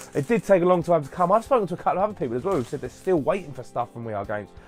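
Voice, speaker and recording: A man talks at a very fast pace with very wide pitch swings and a fairly high pitch. Music plays in the background. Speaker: YouTube hobby vlogger. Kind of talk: casual unboxing vlog. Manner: animated.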